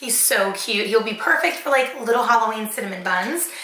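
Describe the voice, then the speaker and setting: The voice belongs to a woman. Her words ring with audible room echo. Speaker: haul vlogger. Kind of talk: casual vlog chat. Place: kitchen.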